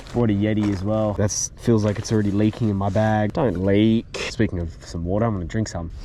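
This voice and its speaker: A man with an Australian accent, fairly low pitch, fairly quick pace and fairly even intonation. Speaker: fishing youtuber. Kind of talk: casual vlog narration. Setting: outdoors, wading in the ocean. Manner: monotone.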